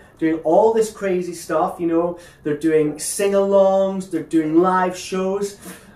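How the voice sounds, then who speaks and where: A man with high pitch, very slow pace and fairly even intonation, with audible room echo. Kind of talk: acted phone monologue. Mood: awkward, then wistful. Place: home room.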